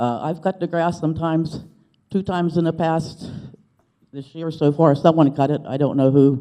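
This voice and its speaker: Recorded dry and close with no echo, a man with a fairly high voice and a dark, mellow tone speaks at a moderate pace with ordinary pitch variation. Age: 60s. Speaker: resident speaking at public comment. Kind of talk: public comment at township meeting. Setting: public board meeting. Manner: animated.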